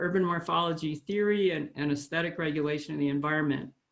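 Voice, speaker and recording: Very deep, low female voice, its pitch rising and falling in an ordinary way. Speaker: professor and session chair. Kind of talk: conference introduction. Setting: video call. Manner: halting, many fillers.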